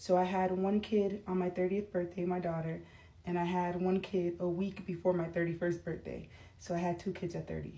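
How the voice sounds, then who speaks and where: A woman speaks at a moderate pace in a fairly low pitch, her dark, mellow tone somewhat breathy and her intonation monotone and flat. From Florida, US. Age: 30s. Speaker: vlogger. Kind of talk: casual vlog talk. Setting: doing makeup on camera. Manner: casual, rambling with fillers.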